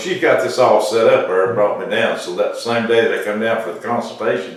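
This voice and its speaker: The man talks fairly quickly, with noticeable background noise and audible room echo in the recording. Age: 70s. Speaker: patient testimonial. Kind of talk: testimony. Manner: halting, many fillers.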